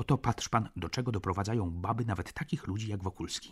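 In a theatrical tone, a man with a fairly low pitch sounds somewhat breathy on a very clean recording with a silent background. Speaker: audiobook narrator. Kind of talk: literary audiobook reading, first-person narration with dialogue. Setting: studio. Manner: measured, theatrical pacing, with emotional warmth at the reconciliation.

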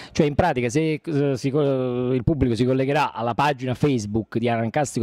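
A man talks at a fairly quick pace, the sound dry with no echo and the background quiet. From Naples area, Italy; Italy. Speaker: stage actor and playwright; stage actor. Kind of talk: interview. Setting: event venue. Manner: halting. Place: hall. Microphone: handheld.

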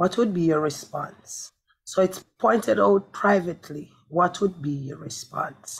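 A woman with a fairly low, somewhat breathy voice speaks at a fairly slow pace with lively intonation. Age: young. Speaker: evangelist. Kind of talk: prayer and preaching. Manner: fervent, speaks in tongues.

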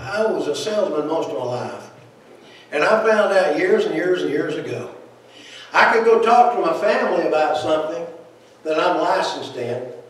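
A man speaks at a moderate pace with lively intonation and long, frequent pauses. Strong echo fills the room. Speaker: preacher. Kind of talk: sermon. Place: church.

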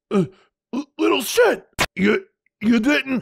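At a fairly slow pace, a man does a put-on character voice at an extremely high pitch. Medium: dub. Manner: gruff, exasperated.

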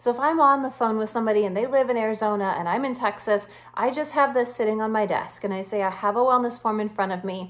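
A woman talks at a very fast pace with hardly any pauses. Her pitch variation is ordinary. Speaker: wellness coach. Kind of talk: tutorial. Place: home room. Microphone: phone near.

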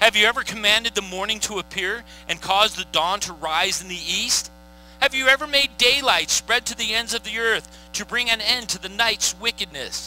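Against music in the background, a man speaks in a raised, projected voice at a moderate pace. His pitch variation is ordinary, and the sound is dry with no echo. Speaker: pastor. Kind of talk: sermon scripture reading. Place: stage. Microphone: headset.

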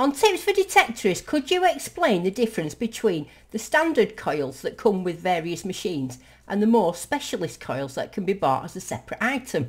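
A woman's voice with vocal fry, at a moderate pace. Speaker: metal detectorist. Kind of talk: casual talk to camera. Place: home room.

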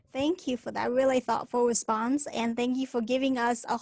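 A woman speaks in a high pitch, the sound dry with no echo and the background quiet. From China. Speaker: podcast host. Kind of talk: interview. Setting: video call. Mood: warm, grateful, light humour.

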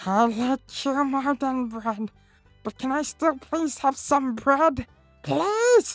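A female-sounding put-on character voice, high-pitched and very slow, with faint music in the background. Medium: dub. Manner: frantic, pleading.

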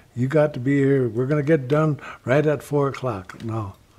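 Dark and mellow in tone, a man's somewhat breathy voice moves at a moderate pace with ordinary pitch variation. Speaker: elder storyteller. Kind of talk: interview answer. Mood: calm, reflective. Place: home room.

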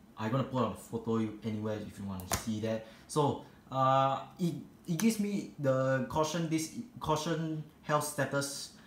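A man at a medium pitch with lively intonation and a moderate pace, against noticeable background noise. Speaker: tech video host. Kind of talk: casual tech tutorial voiceover. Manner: soft-spoken.

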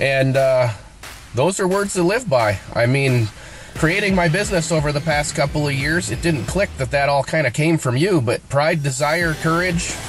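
Over music in the background, a man speaks at a moderate pace with ordinary pitch variation and very even loudness, the sound dry with no echo. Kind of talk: personal video message. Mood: sincere, reflective. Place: car. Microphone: phone near.

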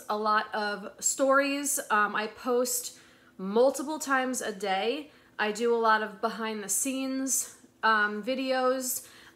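This woman talks at a very slow pace. Her intonation stays fairly even. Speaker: resale vlogger. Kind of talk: casual vlog chat. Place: home room. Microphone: phone near.

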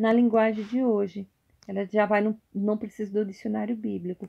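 A woman speaks at a moderate pace with a fairly high pitch. Her tone is dark and mellow. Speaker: YouTuber. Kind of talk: casual show-and-tell vlog. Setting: at home at night. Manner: halting, repetitive. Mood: warm, devotional. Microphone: phone near.

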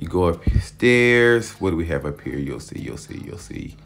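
A man at a fairly quick pace with faint music in the background. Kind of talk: casual vlog chat. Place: gym. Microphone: phone near.

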